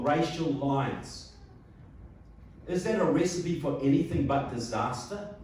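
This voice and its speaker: A man with a New Zealand accent, fairly high-pitched and fairly slow, with ordinary pitch variation, noticeable background noise and audible room echo. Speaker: political speaker. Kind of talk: public speech. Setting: hall with live audience. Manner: animated.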